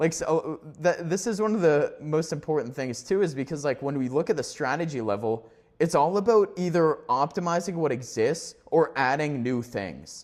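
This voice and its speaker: Lively intonation marks this man's fairly high-pitched voice. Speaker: business coach / entrepreneur YouTuber. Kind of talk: solo talking-head video. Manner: fast; halting, many fillers and restarts.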